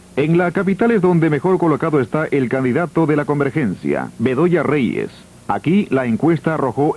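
Lively in intonation with vocal fry, a man speaks at a moderate pace and a very even loudness. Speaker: news reporter presenting survey results. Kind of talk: 1985 TV news broadcast, reading poll figures city by city. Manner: brisk, formal, rattling off numbers.

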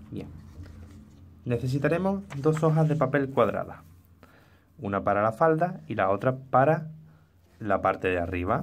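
With very wide pitch swings and long, frequent pauses, a man talks at a medium pitch and a fairly slow pace. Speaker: crafts youtuber. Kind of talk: tutorial.

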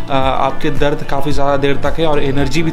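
Clear music plays in the background. The speech comes at a moderate pace with flat, monotone intonation. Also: man. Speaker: fitness vlogger. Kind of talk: casual vlog chat. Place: home room. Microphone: phone near.

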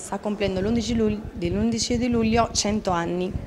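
Noticeable background noise accompanies a woman who talks very slowly, her intonation fairly even. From Argentina, Rosario. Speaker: dancer and choreographer, event organizer. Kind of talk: interview. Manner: halting. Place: hall. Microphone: handheld.

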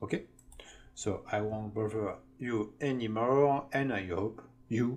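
Speaking at a very slow pace with a non-native accent, this voice shows ordinary pitch variation. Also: man. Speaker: online course instructor. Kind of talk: tutorial. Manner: halting, with fillers.

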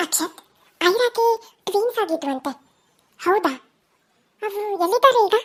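A woman puts on a squeaky character voice at an extremely high pitch. She speaks at a moderate pace with lively intonation. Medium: read story. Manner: cool, controlled.

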